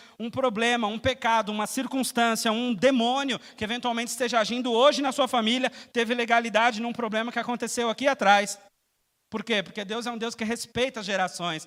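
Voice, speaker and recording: Extremely high in pitch, this man's voice keeps a fairly even intonation. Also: fairly quick pace. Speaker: preacher. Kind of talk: sermon. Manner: fast.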